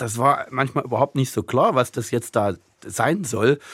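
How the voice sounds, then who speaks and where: Recorded with a dry, close sound and no echo, a man of medium pitch speaks at a moderate pace. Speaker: writer and translator. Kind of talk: interview. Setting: remote line.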